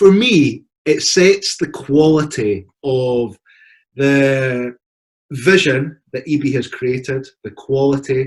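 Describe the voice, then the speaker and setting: With a Scottish accent, a man of medium pitch speaks in a somewhat breathy voice with lively intonation. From Scotland. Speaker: university partnership representative. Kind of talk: presentation.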